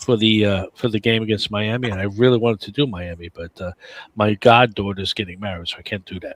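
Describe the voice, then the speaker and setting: A man with a New York accent talks at a very fast pace in a fairly low pitch, his loudness swinging widely. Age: 60s. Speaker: podcast panelist, sports fan. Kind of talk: casual chat. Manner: animated.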